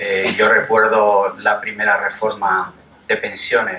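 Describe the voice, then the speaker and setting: Audible room echo and noticeable background noise both surround a man as he talks. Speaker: labour lawyer and lecturer. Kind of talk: public lecture. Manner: hesitant.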